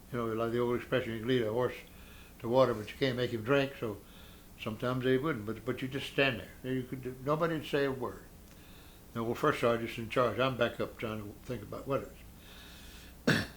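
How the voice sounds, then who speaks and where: A man speaks at a medium pitch and a fairly quick pace. His intonation is fairly even, broken by long, frequent pauses. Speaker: war veteran. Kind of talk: oral history interview. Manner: halting.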